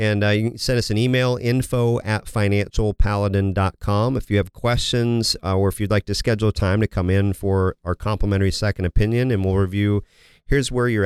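Recorded very cleanly with a silent background and a dry, close sound with no echo, a man speaks at a fairly quick pace with a fairly low pitch and fairly even intonation. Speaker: financial advisor radio host. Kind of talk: radio show discussion about scams. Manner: conversational, somewhat hesitant with fillers.

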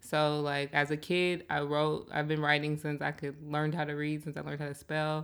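A woman with an American accent speaks at a moderate pace in a very deep, low pitch, her intonation monotone and flat. She hardly pauses, and the recording is very clean with a silent background. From Seattle, South End. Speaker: writer and photographer. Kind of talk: interview.

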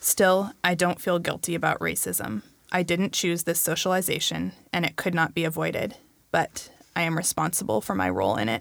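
A woman with an American accent at a moderate pace and very even loudness. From US Pacific Northwest. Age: 30s. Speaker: book club guest. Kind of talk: casual chat.

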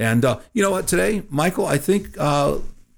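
A man's voice with vocal fry and very wide pitch swings, at a moderate pace, on a very clean recording against a silent background. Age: 50s. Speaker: financial advisor and radio show co-host. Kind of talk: casual chat.

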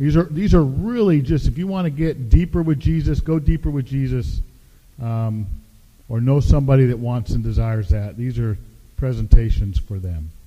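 A man with an American accent speaks at a moderate pace in a medium pitch, his dark, mellow tone somewhat breathy and his intonation lively. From US Pacific Northwest. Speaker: pastor. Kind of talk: sermon. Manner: hesitant fillers.

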